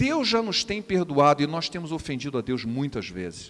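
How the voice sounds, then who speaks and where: A man speaks at a moderate pace with a Rio de Janeiro accent. His intonation is lively. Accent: carioca accent, noticeable. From Rio de Janeiro, Brazil. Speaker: preacher. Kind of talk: sermon.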